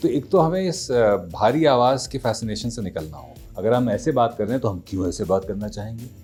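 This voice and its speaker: A man at medium pitch and moderate pace, lively intonation, big swings in loudness, music in the background. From India. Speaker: voice actor. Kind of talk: interview answer.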